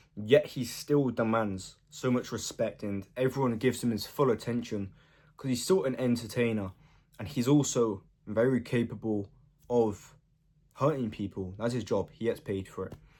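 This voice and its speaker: A quiet man speaks at a medium pitch with ordinary pitch variation and a dark, mellow tone. The recording is very clean, with a silent background. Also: moderate pace. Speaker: self-improvement vlogger. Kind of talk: casual monologue. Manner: casual, filler-heavy.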